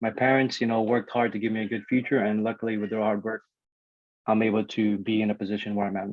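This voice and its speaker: At a very fast pace, a man talks in a fairly low pitch. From Guam, born in the Philippines. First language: Ilocano and Tagalog. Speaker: network engineer, alumni speaker. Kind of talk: presentation to students. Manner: casual, energetic.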